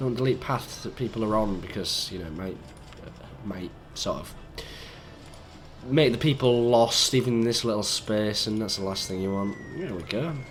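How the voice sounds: A man talks at a moderate pace with a fairly low pitch. His voice is croaky. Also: ordinary pitch variation.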